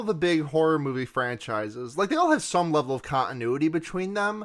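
A normal speaking voice delivers lines at a moderate pace with lively intonation in a very clean recording with a silent background. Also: man. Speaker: podcast co-host.

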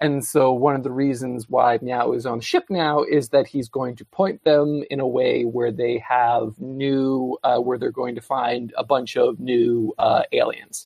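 A man with an unremarkable speaking voice talks at a medium pitch and a fairly slow pace, his intonation fairly even. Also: hardly any pauses. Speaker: recurring guest. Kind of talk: casual chat.

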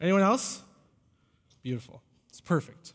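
A man's pitch rises and falls very widely as he talks at a moderate tempo. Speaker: pastor. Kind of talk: sermon. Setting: church.

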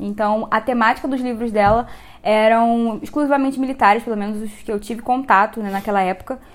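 The woman speaks at a fairly quick pace. Her pitch is fairly high, with ordinary pitch variation. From Rio de Janeiro, Brazil. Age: 20s. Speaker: photographer and writer. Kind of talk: casual chat.

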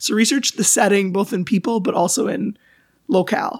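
Her voice fairly high and somewhat breathy, a woman talks at a fairly quick pace with lively intonation, the sound dry and close with no echo. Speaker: podcast co-host. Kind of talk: casual chat.

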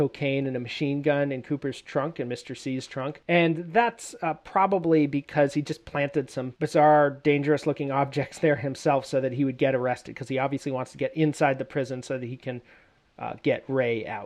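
In a normal speaking voice, a man with a fairly high pitch talks at a moderate pace with hardly any pauses. His intonation is fairly even, and the background is quiet. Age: 30s. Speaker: podcast host. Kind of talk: solo episode commentary on a TV series.

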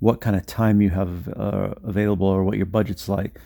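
Speaking at a fairly quick pace, a man uses a fairly low pitch and a dark, mellow tone with monotone, flat intonation. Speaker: podcaster and affiliate marketer. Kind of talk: solo podcast monologue, casual. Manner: stutters a little, disfluent, unscripted.

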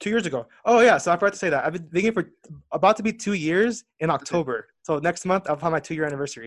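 Here a man talks at a very fast pace with an American accent. His pitch is high and his intonation lively. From Southern California. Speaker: life coach and yoga teacher. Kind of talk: casual interview chat.

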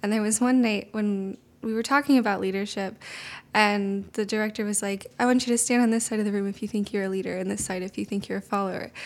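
Soft-spoken and at medium pitch, a woman talks at a very fast pace with fairly even intonation. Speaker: intern and education teacher. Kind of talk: interview, casual conversational.

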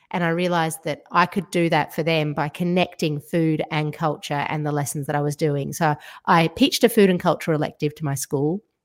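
A woman with an Australian accent speaks at a very deep, low pitch, with fairly even intonation and hardly any pauses. The recording is very clean, with a silent background. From Georgia (former Soviet Union), later Australia. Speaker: food writer and broadcaster. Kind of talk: casual interview.

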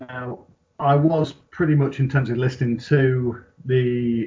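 A man's voice sits at a medium pitch and sounds somewhat breathy. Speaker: gaming community admin. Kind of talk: casual chat.

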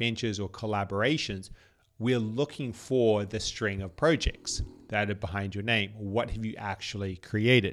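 The recording is very clean, with a silent background. A man with an unremarkable speaking voice talks at a fairly slow pace, his pitch fairly low with ordinary variation. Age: 30s. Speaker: podcast host. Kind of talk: solo podcast monologue.

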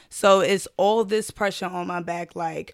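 A woman with a New York accent speaks at a medium pitch with vocal fry on a very clean recording with a silent background. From Brooklyn, New York. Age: 20s. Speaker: schoolteacher and sorority member. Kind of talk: casual chat.

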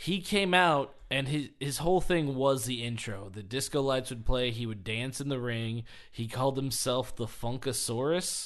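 An unremarkable speaking voice from a man, medium in pitch with ordinary pitch variation, at a moderate pace with hardly any pauses. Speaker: podcast host, wrestling fan. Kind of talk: casual chat, podcast.

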